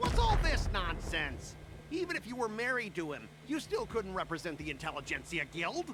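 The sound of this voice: With faint background noise behind him, a man performs a put-on character voice at a high pitch and moderate pace, his tone bright and sharp and his pitch swinging very widely.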